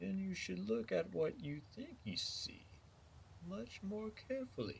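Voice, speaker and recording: A fairly slow, put-on character voice from a man. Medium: read story. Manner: knowing, riddling.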